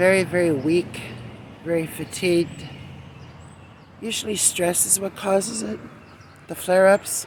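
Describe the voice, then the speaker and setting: Her pitch fairly low and its variation ordinary, a woman talks at a fairly slow pace with long, frequent pauses. There is noticeable background noise. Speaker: gardening vlogger. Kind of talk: casual vlog. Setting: outdoors in garden. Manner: subdued.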